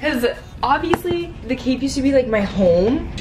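A woman speaks in a high voice with lively intonation. There is noticeable background noise. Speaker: vlogger. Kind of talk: casual vlog chat. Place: home room. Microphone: phone near.

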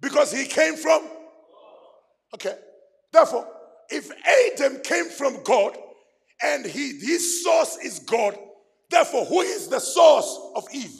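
A man shouting in an animated tone with lively intonation, at a fairly slow pace full of long, frequent pauses, over a quiet background. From South Africa. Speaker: pastor. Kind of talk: fiery call-and-response sermon to a men's gathering. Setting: church stage with live audience. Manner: animated, exhorting the crowd to shout back; repetitive, building emphasis through repeated phrases. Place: church. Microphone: handheld.

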